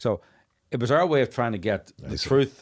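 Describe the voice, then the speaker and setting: With a Northern Irish accent and lively intonation, a man talks over a quiet background. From Northern Ireland. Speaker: documentary filmmaker; podcast guest. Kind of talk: interview conversation. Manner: animated. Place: studio. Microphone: studio mic.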